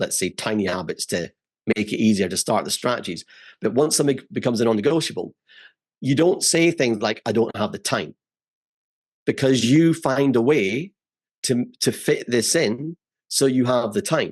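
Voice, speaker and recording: A man with a Scottish accent speaks at a moderate pace with very wide pitch swings and long, frequent pauses. The sound is dry and close with no echo, over a quiet background. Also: medium pitch for a man. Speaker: memory expert. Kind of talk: casual chat.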